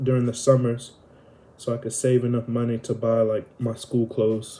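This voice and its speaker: A man talks in a monotone with flat intonation at a medium pitch. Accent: Southern US. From US South (Alabama and Florida). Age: 20s. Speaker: vlogger. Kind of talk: casual Q&A monologue. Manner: slow; hesitant, many fillers.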